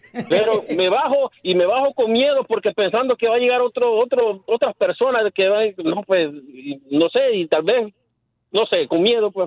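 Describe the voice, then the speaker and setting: A man's fairly high-pitched voice at a moderate pace, with very even loudness and ordinary pitch variation. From El Salvador. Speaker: radio caller. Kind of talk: call-in opinion. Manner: halting, hesitant.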